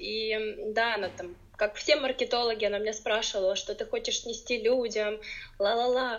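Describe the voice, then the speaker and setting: At a moderate pace, a woman talks in a high pitch. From Ukraine. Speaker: podcast guest, blogger. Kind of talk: casual interview.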